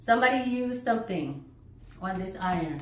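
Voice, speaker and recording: A woman speaks at a moderate pace and a medium pitch, with very wide pitch swings. The room echo is audible and background noise is noticeable. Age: 60s. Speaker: flag-making craft teacher. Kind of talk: tutorial. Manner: casual, chatty.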